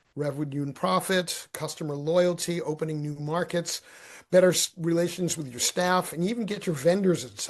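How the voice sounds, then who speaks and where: At a moderate pace, a normal speaking voice with ordinary pitch variation comes through over a quiet background. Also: man. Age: 60s. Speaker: marketing strategist and author. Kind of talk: podcast interview. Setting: podcast.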